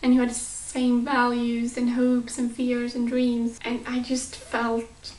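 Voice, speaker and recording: Very slow, monotone, flat delivery over noticeable background noise. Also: woman. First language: not English. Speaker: YouTube vlogger. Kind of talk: casual vlog.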